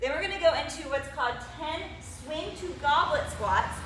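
A woman speaks in a raised, projected voice at a moderate pace with lively intonation. Noticeable background noise and audible room echo surround her. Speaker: fitness coach. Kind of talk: workout tutorial. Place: gym. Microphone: camera far.

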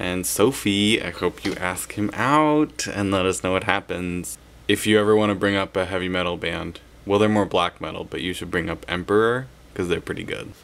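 A man's fairly low voice moves with ordinary pitch variation. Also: moderate pace. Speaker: vlogger in a group video series. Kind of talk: casual vlog chat. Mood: warm, reflective. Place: home room. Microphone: webcam.

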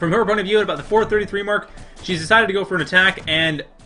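Music plays in the background as a man talks at a very fast pace. His pitch variation is ordinary. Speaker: game commentator. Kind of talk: live esports play-by-play commentary.

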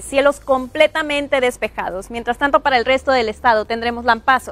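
A woman's upbeat, high-pitched voice with ordinary pitch variation, dry and without echo, over music in the background. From Mexico, Nuevo León (Monterrey area). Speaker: TV weather presenter. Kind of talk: morning TV weather report, brisk rundown of city temperatures. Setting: TV studio. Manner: upbeat, friendly newsreader warmth. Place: studio. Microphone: lapel.

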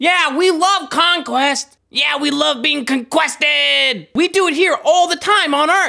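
The voice is cartoonish and high-pitched, a character put on for the clip. It moves at a fairly slow pace with hardly any pauses. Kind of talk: comic overacting. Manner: excited, goofy, then oddly intense.

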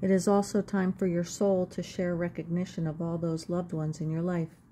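At a moderate pace, a woman speaks in a fairly low pitch with a dark, mellow, somewhat breathy tone and monotone, flat intonation over light background noise. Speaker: spiritual card reader and video creator. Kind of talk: guided meditation. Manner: calm, gentle, reflective. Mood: calm, gentle. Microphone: phone near.

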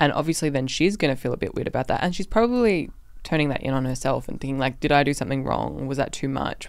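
A woman speaks with vocal fry at an extremely low pitch.

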